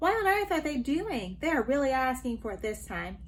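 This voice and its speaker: Over clear background noise, a woman puts on a high-pitched character voice and talks at a fairly quick pace. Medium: read story.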